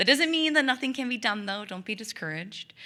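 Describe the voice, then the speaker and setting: A woman speaks loudly in a bright, sharp tone, captured in a very clean recording with a silent background. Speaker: tobacco prevention coalition coordinator. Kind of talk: public presentation.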